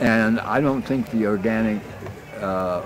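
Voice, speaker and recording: With music in the background, a man speaks at a fairly slow pace and a fairly low pitch. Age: 80s+. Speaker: retired mathematical statistician. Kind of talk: interview answer.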